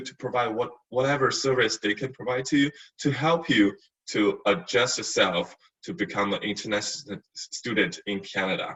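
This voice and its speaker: Speaking at a medium pitch, a man varies it in an ordinary way. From China. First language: Chinese. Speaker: university staff, former international student. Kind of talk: webinar testimony. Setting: online webinar. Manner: halting, many fillers and repeats.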